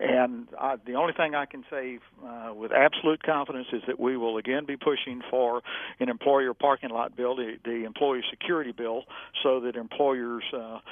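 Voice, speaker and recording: A man speaks in a normal speaking voice at medium pitch. His intonation stays fairly even. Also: moderate pace. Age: 60s. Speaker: gun rights advocate and attorney. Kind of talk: interview.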